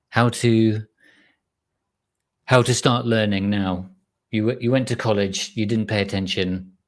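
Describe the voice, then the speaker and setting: With an English accent, a man speaks at a fairly low pitch and a fairly slow pace, in a monotone, flat intonation. Long, frequent pauses fill a very clean recording with a silent background. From England. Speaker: live stream host, chip design educator. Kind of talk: live stream chat reading viewer comments. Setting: live stream. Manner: casual, halting with restarts.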